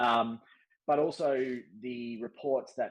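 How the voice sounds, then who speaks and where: Here a man talks with an Australian accent. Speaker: podcast host, former diplomat. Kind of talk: casual discussion. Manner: hesitant, many fillers.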